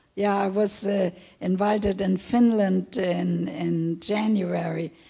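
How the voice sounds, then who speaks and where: A woman's somewhat breathy voice with a medium pitch and a dark, mellow tone. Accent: German. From Germany, Hamburg. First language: German. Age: 80s+. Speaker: Holocaust survivor. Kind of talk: testimony Q&A. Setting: stage with audience. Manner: halting.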